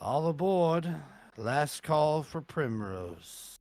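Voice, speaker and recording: Using a put-on character voice, a man speaks at a fairly high pitch and a very slow pace. The recording is very clean, with a silent background. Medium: actual play. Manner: formal, announcing.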